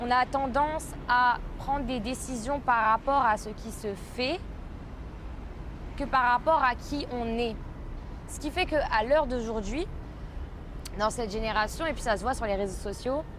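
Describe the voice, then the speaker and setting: With a Parisian accent, a high-pitched woman talks at a fairly slow pace with ordinary pitch variation and long, frequent pauses. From France, Paris. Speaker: podcaster. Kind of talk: casual monologue podcast. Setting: outdoors by a pool. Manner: hesitant, frequent fillers.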